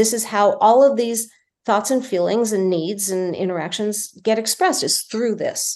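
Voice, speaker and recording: A woman speaks at a moderate pace with a fairly high pitch and ordinary pitch variation. It is a normal speaking voice. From New Jersey. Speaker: film director and producer. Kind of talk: casual interview.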